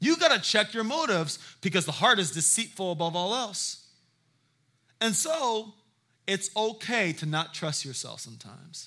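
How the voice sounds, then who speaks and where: A man's raised, projected voice, high in pitch with very wide swings, bright and sharp in tone, at a moderate pace on a very clean recording with a silent background. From South Carolina (Hilton Head), moved from San Diego as a child. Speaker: guest pastor. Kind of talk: sermon. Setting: church with congregation. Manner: animated.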